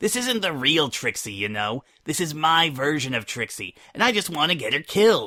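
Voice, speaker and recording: Putting on a character voice, a man speaks at a fairly high pitch with very wide pitch swings and hardly any pauses. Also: moderate pace, very clean recording, silent background. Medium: read story.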